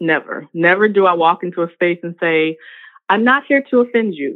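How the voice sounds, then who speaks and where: In an American accent, a woman speaks at a moderate pace with lively intonation. She has a plain, everyday voice. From US South, Richmond, Virginia. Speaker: professor and health equity consultant. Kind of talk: interview.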